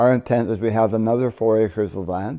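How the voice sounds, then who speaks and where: A man talks at a moderate pace with a fairly low pitch and a dark, mellow tone. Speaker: business owner. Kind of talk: interview. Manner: halting.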